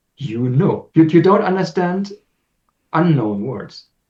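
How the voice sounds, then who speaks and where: Somewhat breathy and dark, mellow in tone, a man's voice moves with lively intonation. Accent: German. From Germany. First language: German. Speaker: language teacher. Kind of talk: casual chat. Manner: halting.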